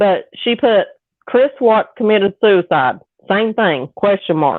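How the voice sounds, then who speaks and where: A woman with a Southern US accent, fairly high-pitched, very slow, lively in intonation, with very even loudness. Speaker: true crime podcaster. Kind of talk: casual chat. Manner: animated.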